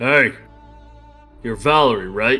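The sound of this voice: Over faint background music, a man puts on a gruff character voice at a medium pitch.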